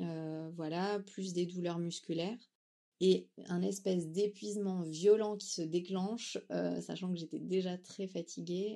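A woman talks at a very slow pace with a dark, mellow tone. Her pitch is fairly low and her intonation fairly even. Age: 30s. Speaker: young mother sharing testimony. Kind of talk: testimony.

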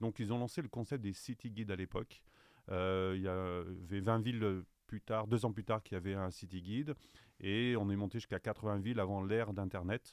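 A fairly low-pitched man with an unremarkable speaking voice, moderate in pace and fairly even in intonation. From France, Saint-Étienne. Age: 50s. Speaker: travel guide publisher sales director. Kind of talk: interview.

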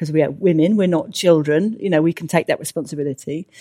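In a dry, close sound with no echo, a woman with a British accent speaks at a fairly low pitch. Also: very clean recording, silent background. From UK. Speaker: sociologist. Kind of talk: interview.

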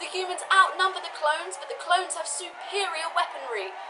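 In a raised, projected voice of extremely high pitch, a woman talks at a fairly quick pace. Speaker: comedic field reporter character. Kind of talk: mock news report.

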